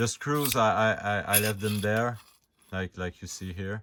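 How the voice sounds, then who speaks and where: Someone with a non-native accent speaks at a very slow pace with fairly even intonation in a very clean recording with a silent background. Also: man. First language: not English. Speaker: hobbyist prop reviewer. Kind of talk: tutorial. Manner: stutter; halting, many fillers.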